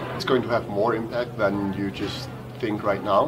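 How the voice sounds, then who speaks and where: A man speaks at a moderate pace, with music in the background and audible room echo. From Denmark, Copenhagen. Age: 20s. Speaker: interviewee. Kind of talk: interview.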